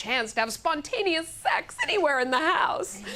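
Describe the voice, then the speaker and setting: A woman speaks at a fairly quick pace in an animated tone. Noticeable noise sits in the background. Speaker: comedian and monologist. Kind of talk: comedic monologue, stage storytelling. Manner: animated, humorous, conversational.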